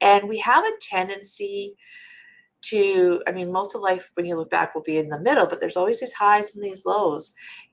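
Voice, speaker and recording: A woman's plain, everyday voice, medium in pitch, at a moderate pace with ordinary pitch variation. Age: 50s. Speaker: midlife transformation speaker. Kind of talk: podcast interview.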